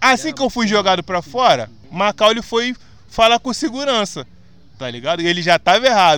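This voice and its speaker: An animated man speaks at a moderate pace in a high, bright and sharp voice. His pitch swings very widely. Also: very clean recording, silent background. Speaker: podcast host. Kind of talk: casual chat. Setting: outdoors.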